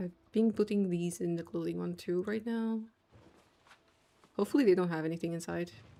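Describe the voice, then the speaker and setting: Speaking with a non-native accent at a fairly quick pace yet with long, frequent pauses, a woman has a fairly low pitch, ordinary pitch variation and a relaxed, dark, mellow tone. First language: not English. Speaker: gaming streamer. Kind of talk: casual livestream chat.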